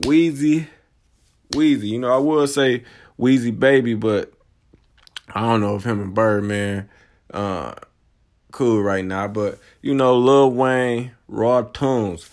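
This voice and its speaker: This man talks at a very slow pace with an American accent, leaving long, frequent pauses. His pitch sits in the medium range with ordinary variation. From Michigan. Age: 30s. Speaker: hip-hop podcaster. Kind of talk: casual monologue. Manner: animated.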